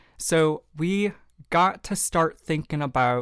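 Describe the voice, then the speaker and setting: In a very clean recording with a silent background, someone speaks with a Southern US accent. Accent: Southern US accent, newly developed. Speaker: podcast host. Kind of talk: motivational self-help talk. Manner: casual, conversational.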